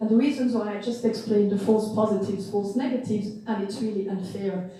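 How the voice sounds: Strong room echo surrounds a woman speaking at a fairly quick pace. Her medium-pitched voice has a dark, mellow tone and fairly even intonation.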